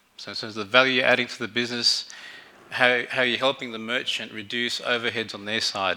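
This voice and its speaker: A man with an Australian accent speaks at a fairly quick pace. His medium-pitched voice has a bright, sharp tone. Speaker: fintech executive, conference speaker. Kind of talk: conference keynote presentation. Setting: stage with audience. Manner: halting, many fillers.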